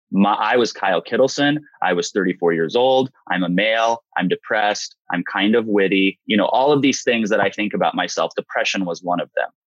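A man with a fairly low pitch and ordinary pitch variation moves along at a fairly quick pace. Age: 30s. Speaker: mental health advocate and online video host. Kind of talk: interview.

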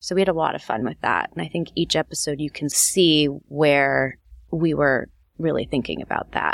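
A woman with a West Coast accent talks at a moderate pace in a very deep, low pitch, with vocal fry and ordinary pitch variation, on a very clean recording with a silent background. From Los Angeles. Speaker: TV writer. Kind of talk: interview.

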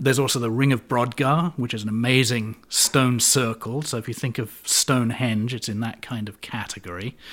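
In a very clean recording with a silent background, a man speaks in a normal speaking voice at medium pitch. He keeps a moderate pace with hardly any pauses and fairly even intonation. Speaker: climate scientist. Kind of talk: interview.

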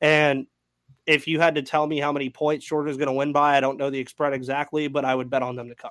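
Delivered at a very fast pace, the speech has a monotone, flat intonation. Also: man, fairly high pitch for a man. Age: 20s. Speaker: sports podcast host. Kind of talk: casual chat.

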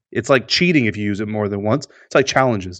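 Over a quiet background, a man speaks at a fairly quick pace in an unremarkable speaking voice. His pitch varies in an ordinary way. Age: 30s. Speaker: sports podcast co-host. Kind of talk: casual chat.

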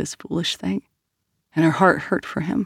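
The sound of this woman's voice is dry and close, with no echo. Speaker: audiobook narrator. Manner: measured, expressive, storytelling pace, shifting tone for each character.

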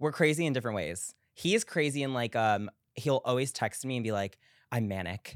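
A man with an American accent speaks in an unremarkable speaking voice at a medium pitch, with lively intonation. The sound is dry and close with no echo, on a very clean recording with a silent background. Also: fairly quick pace. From US Northeast, Long Island. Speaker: pop culture commentator. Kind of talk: casual chat.

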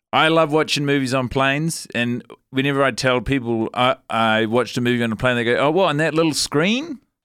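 Speaking at a fairly quick pace with hardly any pauses, a man keeps a medium pitch, ordinary pitch variation and very even loudness on a very clean recording with a silent background. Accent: New Zealand. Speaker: comedian. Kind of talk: casual comedic chat.

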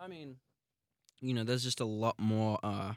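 A fairly low-pitched man with an Australian accent speaks at a fairly quick pace with fairly even intonation, in a very clean recording with a silent background and a dry, close sound with no echo. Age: 20s. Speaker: singer. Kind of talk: casual chat. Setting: studio.

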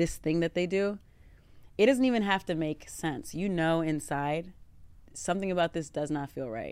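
A woman's unremarkable speaking voice, fairly low in pitch, with lively intonation at a moderate pace. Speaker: dating show guest. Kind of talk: casual chat.

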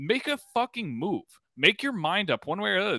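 A man with a high, bright, sharp voice speaks passionately in a raised, projected voice, with very wide pitch swings and a dry, close sound without echo. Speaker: sports podcast host. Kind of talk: angry rant about the team's failures, heated and profane. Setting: podcast, casual recorded. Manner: angry, ranting, emphatic, swearing; passionate, fast, interrupting.

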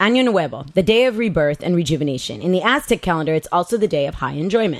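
Very wide pitch swings from a woman at medium pitch, at a fairly quick pace. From Los Angeles, Southern California (Mexican-American). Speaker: poet. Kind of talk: reading aloud.

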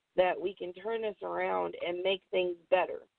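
A woman speaks at a fairly slow pace with an American accent. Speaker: professional wrestler. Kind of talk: interview.

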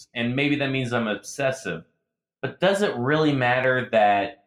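A normal speaking voice from a man with an American accent, at a moderate pace with ordinary pitch variation. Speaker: podcast host and football fan. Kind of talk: casual podcast chat.

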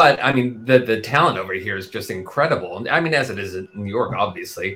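With lively intonation, a man speaks at a medium pitch in a bright, sharp tone. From Texas. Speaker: musical theatre writer and performer. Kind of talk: interview. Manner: hesitant, many fillers.

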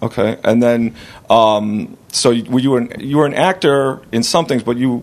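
A man speaks in an American accent with a normal speaking voice. His pitch is medium, with ordinary pitch variation at a moderate pace. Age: 40s. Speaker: podcast host and comedian. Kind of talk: casual interview.

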